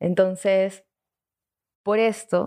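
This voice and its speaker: Over a quiet background, a woman speaks at a medium pitch with a dark, mellow tone and monotone, flat intonation. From Lima, Peru. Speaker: audiovisual communicator. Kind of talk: storytelling.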